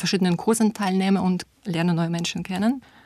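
Somewhat breathy, a woman speaks in a Russian accent with monotone, flat intonation. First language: Russian (speaking German). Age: 30s. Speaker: German teacher. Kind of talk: personal portrait monologue.

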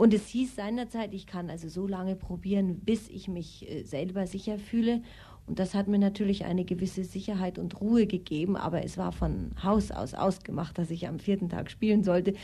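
A woman's medium-pitched voice with vocal fry, a dark, mellow tone, fairly even intonation and a moderate pace. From Austria. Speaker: actress and singer. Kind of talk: interview.

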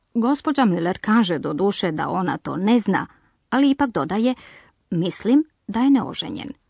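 Somewhat breathy and fairly high in pitch, a woman speaks at a moderate pace with very wide pitch swings, the sound dry and close with no echo against a quiet background. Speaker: language course presenter. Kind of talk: language lesson, explanatory narration. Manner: clear, didactic.

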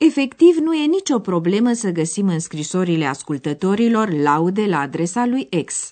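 Moderate pace with hardly any pauses and very wide pitch swings. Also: woman, medium pitch for a woman. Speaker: radio course presenter. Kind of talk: scripted narration explaining a language lesson. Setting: radio studio.

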